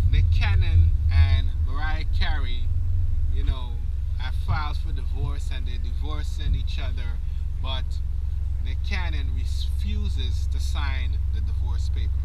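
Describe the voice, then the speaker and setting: A man at a fairly slow pace with long, frequent pauses, dry with no echo, over loud background noise. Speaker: vlogger. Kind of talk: casual vlog chat. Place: car.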